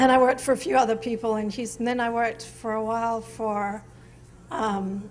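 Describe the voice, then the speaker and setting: Audible room echo surrounds a woman's fairly high voice as she speaks at a fairly quick pace with fairly even intonation. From England, Norfolk (East Anglia). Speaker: artist, photographer. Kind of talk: interview on stage. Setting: museum event with audience.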